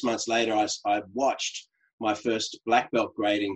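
Here a man talks at a moderate pace in an Australian accent. His pitch is medium, and the background is quiet. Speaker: LinkedIn coach. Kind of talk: casual interview.

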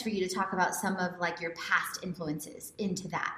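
Through noticeable background noise, a woman can be heard talking at a moderate speed. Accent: American. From Houston, Texas. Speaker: podcast host, lifestyle coach. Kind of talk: interview podcast.

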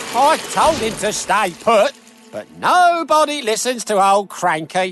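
A man puts on a gruff character voice, high-pitched with very wide pitch swings. He speaks at a fairly slow pace. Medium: read story. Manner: gruff, grumbling.

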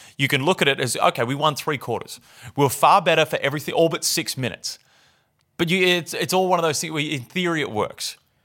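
In an Australian accent, a man talks very fast with a bright, sharp tone, fairly high pitch and ordinary pitch variation on a very clean recording with a silent background. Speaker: basketball podcast host. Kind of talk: casual sports banter podcast. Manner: casual, joking.

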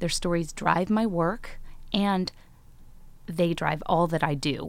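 Pitch varies in an ordinary way. It is an ordinary speaking voice. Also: woman, very clean recording, silent background. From Chicago, US Midwest. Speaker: psychology professor. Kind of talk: live storytelling talk. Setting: stage with audience.

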